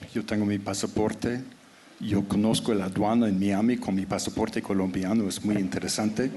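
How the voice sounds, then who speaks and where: A man at a moderate pace, fairly low and monotone with flat intonation, over noticeable background noise. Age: 70s. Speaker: anthropologist and writer. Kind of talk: panel discussion. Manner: halting.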